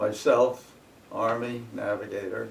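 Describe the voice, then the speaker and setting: A medium-pitched man with an American accent speaks amid audible room echo. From northern New Jersey. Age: 90s. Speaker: war veteran. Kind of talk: oral history interview. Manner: halting.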